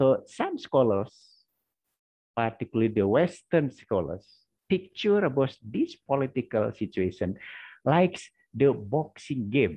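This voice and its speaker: With an Indonesian accent, this voice moves at a fairly slow pace through very wide pitch swings and long, frequent pauses against a quiet background. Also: man, medium pitch for a man. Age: 50s. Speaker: history lecturer; university lecturer. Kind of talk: lecture. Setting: video call. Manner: halting. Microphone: video call.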